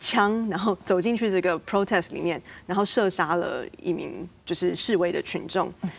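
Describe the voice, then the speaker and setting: At a moderate pace, a woman speaks at medium pitch with vocal fry and fairly even intonation. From Taiwan, moved to the US as a teen. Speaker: academic researcher. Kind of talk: panel discussion.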